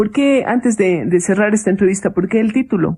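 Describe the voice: A woman's medium-pitched voice, dark and mellow in tone with a slightly husky edge, ordinary pitch variation and a fairly quick pace.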